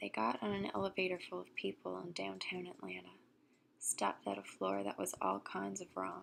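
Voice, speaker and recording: A soft-spoken woman talks at a moderate pace. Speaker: ASMR storyteller. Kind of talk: ASMR story reading.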